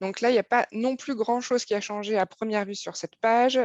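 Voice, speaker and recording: A woman speaks at a moderate pace with ordinary pitch variation. The sound is dry and close with no echo, over a quiet background. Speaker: software presenter. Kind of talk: live webinar software demo. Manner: hesitant, many fillers.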